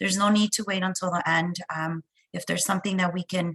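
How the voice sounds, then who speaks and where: A woman's bright, sharp voice at a fairly quick pace, fairly even in intonation, with a dry, close sound and no echo. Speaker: webinar moderator. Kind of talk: webinar introduction. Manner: halting with fillers.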